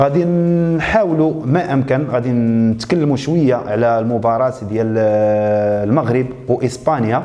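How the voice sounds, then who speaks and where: The man talks fairly slowly at a medium pitch, with very even loudness, ordinary pitch variation and hardly any pauses. Noticeable background noise and audible room echo are present. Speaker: YouTube show host. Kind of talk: casual presentation. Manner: hesitant, with fillers.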